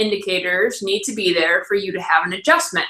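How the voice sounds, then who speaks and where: Her tone is bright and sharp, and this woman's intonation is lively. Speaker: chiropractor. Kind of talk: live webinar talk. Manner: fast.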